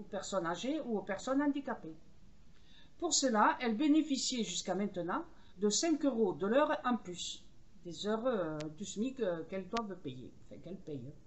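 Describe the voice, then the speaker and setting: A woman's fairly high voice with very wide pitch swings, at a fairly slow pace. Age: 70s. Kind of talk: angry video rant. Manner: hesitant, many fillers.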